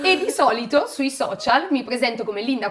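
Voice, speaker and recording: A woman's high-pitched voice with a Lombard accent and lively intonation, over noticeable background noise. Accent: Bergamo. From northern Italy, Bergamo. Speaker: kindergarten teacher and social media creator. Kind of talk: casual podcast chat.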